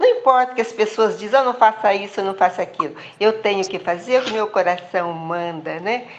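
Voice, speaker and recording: Lively intonation marks a woman's fairly high voice at a moderate pace. Background noise is noticeable. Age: 80s+. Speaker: participant in an online group meeting. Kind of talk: personal testimony.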